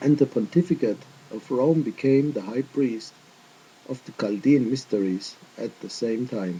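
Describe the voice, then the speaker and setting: Male voice at medium pitch, dark and mellow in tone, with ordinary pitch variation. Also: moderate pace. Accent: non-native. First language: not English. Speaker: religious video teacher. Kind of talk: casual chat; lecture. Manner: careful non-native phrasing.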